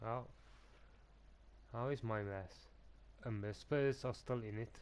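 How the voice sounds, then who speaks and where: A non-native accent at a fairly slow pace, with fairly even intonation. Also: man, medium pitch for a man. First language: not English. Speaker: gaming streamer. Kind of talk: live gameplay commentary. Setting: live stream. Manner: halting.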